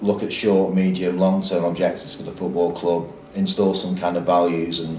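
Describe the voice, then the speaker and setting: Amid noticeable background noise and audible room echo, a man with a Lancashire accent talks at a fairly quick pace in a very deep, low pitch. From northern England, Lancashire. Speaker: football club executive. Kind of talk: interview. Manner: hesitant, many fillers.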